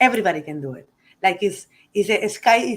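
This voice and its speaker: A woman speaks with a strong Uruguayan accent. Her medium pitch carries lively intonation. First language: Spanish. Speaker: cigar company CEO. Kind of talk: interview.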